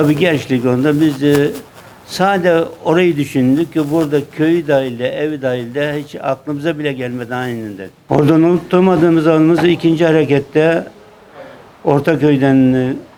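A man's fairly high voice moves at a moderate pace with ordinary pitch variation, with noticeable background noise behind it. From Burdur, Turkey. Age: 70s. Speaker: war veteran. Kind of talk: interview answer.

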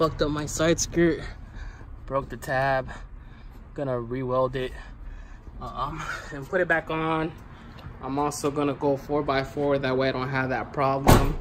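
The speech runs at a fairly slow pace with long, frequent pauses over light background noise. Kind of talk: casual vlog chat. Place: garage. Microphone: phone near.

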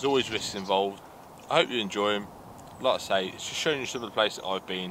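A man speaks very fast in a very deep, low voice with ordinary pitch variation. Noticeable background noise sits under a dry sound with no echo. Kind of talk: casual vlog intro. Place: car. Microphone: camera far.

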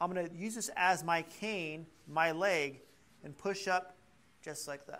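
A man talks at a fairly slow pace, leaving long, frequent pauses. His voice is high-pitched and bright and sharp in tone, with big swings in loudness. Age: 50s. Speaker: chiropractor leading a balance workshop; exercise class instructor. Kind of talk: workshop demonstration to a live class. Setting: class with live audience. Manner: animated. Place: classroom.

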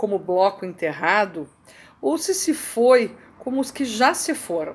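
A woman with a Brazilian accent speaks at a fairly slow pace. Her fairly high voice swings very widely in pitch. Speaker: video blogger reading poetry. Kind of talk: poetry reading, reflective and contemplative. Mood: calm, reflective. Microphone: webcam.

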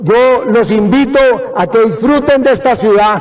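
A man talks at an extremely high pitch. His pitch varies in an ordinary way. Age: 70s. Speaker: city mayor. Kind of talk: welcome speech. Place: hall. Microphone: podium.

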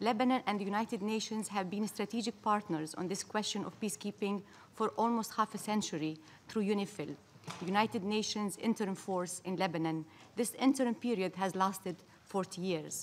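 A woman has an ordinary speaking voice at a medium pitch. She talks at a fairly quick pace with ordinary pitch variation. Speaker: ambassador delivering a statement at the UN Security Council. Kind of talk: formal diplomatic speech read at a UN Security Council debate. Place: hall. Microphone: podium.

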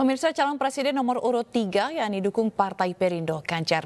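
Talking at a fairly quick pace, a woman lets her pitch swing very widely. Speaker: news anchor. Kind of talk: news reading. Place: studio. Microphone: lapel.

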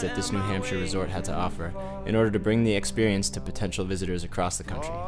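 Over music in the background, a man with a fairly low pitch and an upbeat tone talks at a very fast pace. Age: 20s. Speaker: social media consultant and musician. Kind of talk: video application, talk to camera. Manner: upbeat, outgoing.

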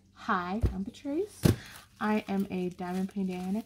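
The speech moves at a fairly slow pace with fairly even intonation. Noticeable background noise sits behind it. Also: woman. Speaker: diamond painting hobby vlogger. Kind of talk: casual vlog chat. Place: home room. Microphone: phone near.

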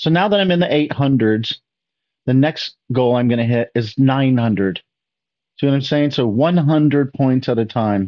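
In an ordinary speaking voice, a man talks at a fairly slow pace and medium pitch, with ordinary pitch variation and very even loudness. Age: 50s. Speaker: chess youtuber reacting to a lesson video. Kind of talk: casual reaction commentary.

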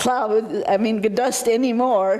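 Fairly even intonation at a fairly slow pace, with noticeable background noise. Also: woman. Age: 80s+. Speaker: citizen speaking at public meeting. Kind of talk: public comment at county meeting. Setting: county commission meeting room. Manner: halting, with restarts.

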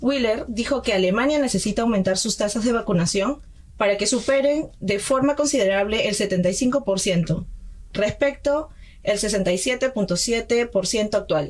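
A woman speaks very slowly in a fairly high pitch. Her loudness stays very even. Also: ordinary pitch variation. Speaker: student radio host, news reader. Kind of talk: news reading and radio hosting. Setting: radio studio.

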